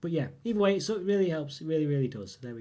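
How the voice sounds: Speaking at a very fast pace, a man uses lively intonation, a fairly high pitch and a dark, mellow tone.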